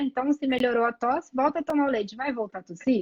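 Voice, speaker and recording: A woman speaks with a Rio de Janeiro accent. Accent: carioca. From Rio de Janeiro, Brazil. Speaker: pediatric allergist. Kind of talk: live medical chat.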